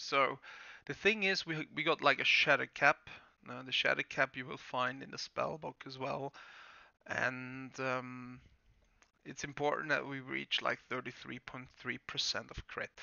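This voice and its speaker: Speaking with a German accent, a man with a medium pitch and fairly even intonation goes at a fairly slow pace with big swings in loudness. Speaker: gaming guide creator. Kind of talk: tutorial. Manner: hesitant, many fillers.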